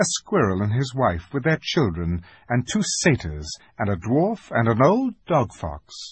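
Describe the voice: Simply plain reading aloud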